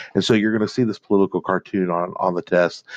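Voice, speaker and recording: A man with a very deep, low pitch is heard in a dry, close sound with no echo against a quiet background. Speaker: history teacher. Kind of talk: lecture. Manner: fast; halting, many fillers.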